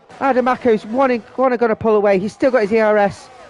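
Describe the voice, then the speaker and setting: Over music in the background, a man speaks at a fairly quick pace in an animated tone, the sound dry and close with no echo. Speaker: sim racing league commentator. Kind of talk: live commentary. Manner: mumbling.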